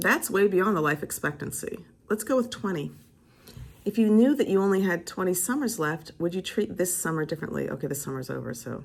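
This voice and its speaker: A woman speaks at a medium pitch with an animated tone and some vocal fry. Her pitch swings very widely. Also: fairly quick pace. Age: 60s. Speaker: vlogger, teacher. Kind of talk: casual vlog monologue.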